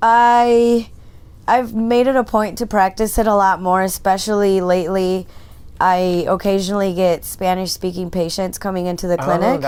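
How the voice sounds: A Michigan accent at a moderate pace, with fairly even intonation. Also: woman, medium pitch for a woman.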